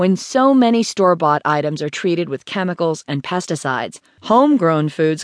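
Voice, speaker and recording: Here is a normal speaking voice at a moderate pace. The intonation is lively, and the background is quiet. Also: woman. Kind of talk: audiobook narration, scripted how-to reading. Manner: even, measured, clear and instructive.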